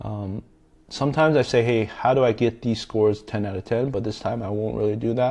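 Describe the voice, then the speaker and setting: A man talks in a dark, mellow tone at a fairly low pitch. His pace is fairly quick. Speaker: tech content creator. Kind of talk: tutorial. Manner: fast.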